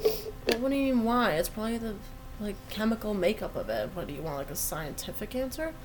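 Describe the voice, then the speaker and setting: A woman with a fairly high pitch talks at a fairly quick pace with very wide pitch swings. Noticeable background noise and audible room echo are present. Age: 20s. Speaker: podcast co-host. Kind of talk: casual chat.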